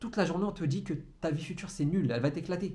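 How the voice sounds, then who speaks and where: A man talks at a very fast pace and a high pitch, with ordinary pitch variation and audible room echo. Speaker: entrepreneurship coach. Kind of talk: motivational monologue to camera. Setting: alone in a room facing a camera. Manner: stumbles over words.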